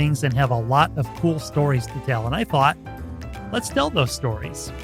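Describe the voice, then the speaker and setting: Moderate-paced speech from a man, music playing underneath. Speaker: podcast host and broadcaster. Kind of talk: podcast host interviewing a guest.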